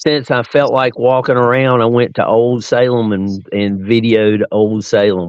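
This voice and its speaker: With an Appalachian accent, a man speaks with fairly even intonation. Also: medium pitch for a man, fairly slow pace. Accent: Appalachian Southern US. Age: 60s. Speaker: podcast guest. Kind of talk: casual chat.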